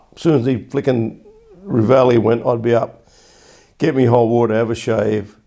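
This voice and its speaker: This man has a medium pitch and a dark, mellow tone, with fairly even intonation. He moves at a moderate pace, broken by long, frequent pauses. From England. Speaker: war-era army veteran recalling youth. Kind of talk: oral history interview answer.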